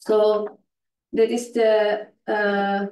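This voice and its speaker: A woman speaking with a non-native accent. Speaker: conference presenter, NGO specialist. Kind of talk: conference presentation. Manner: halting, many fillers.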